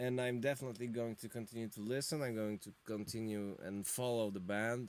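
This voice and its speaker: At a fairly quick pace, a man with a non-native accent speaks at a medium pitch. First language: not English. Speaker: music reviewer, drummer and guitarist. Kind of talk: live-stream album review. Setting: home studio live stream. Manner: animated; halting.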